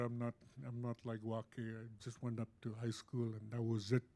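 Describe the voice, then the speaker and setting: At a fairly slow pace, a man speaks with a medium pitch. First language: Yupik. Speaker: panelist. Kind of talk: panel discussion. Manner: halting.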